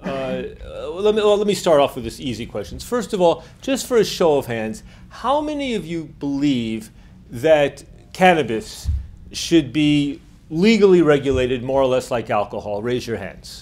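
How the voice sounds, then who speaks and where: With a New York accent, a man speaks at a fairly high pitch that swings very widely. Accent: American, New York. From United States. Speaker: drug policy activist. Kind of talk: lecture. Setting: lecture hall with audience. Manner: fast.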